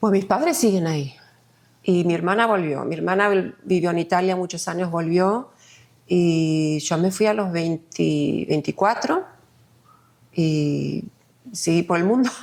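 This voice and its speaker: In an Argentine accent, the speaker goes at a fairly slow pace with long, frequent pauses and ordinary pitch variation. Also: woman, fairly low pitch for a woman. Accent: sounds Argentine in Spanish. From Sweden. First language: Swedish (speaking Spanish). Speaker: multidisciplinary artist. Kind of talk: podcast interview.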